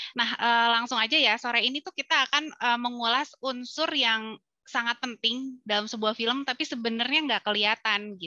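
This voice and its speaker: A woman speaks at a moderate pace with hardly any pauses, her high-pitched, bright, sharp tone showing ordinary pitch variation. The sound is dry with no echo against a quiet background. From Bandung, Indonesia; Indonesia. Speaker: film festival curator and moderator; moderator. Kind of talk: webinar moderation. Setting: video call. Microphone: headset.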